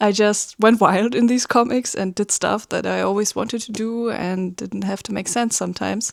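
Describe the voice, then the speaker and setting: A woman with a German accent speaks at a moderate pace in a fairly high pitch. Her intonation is fairly even, and the sound is dry and close with no echo. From Germany. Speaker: webcomic artist. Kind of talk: casual vlog talk. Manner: hesitant, many fillers.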